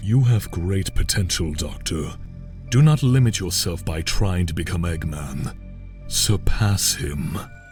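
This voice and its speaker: A man speaks in a put-on character voice with a very deep, low pitch at a fairly slow pace, with clear music in the background. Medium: audio drama. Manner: commanding, grandiose.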